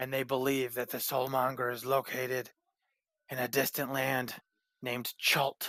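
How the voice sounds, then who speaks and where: A man puts on a raspy character voice at a medium pitch, with monotone, flat intonation. He leaves long, frequent pauses, and the sound is dry and close with no echo. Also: moderate pace. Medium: actual play. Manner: earnest and persuasive.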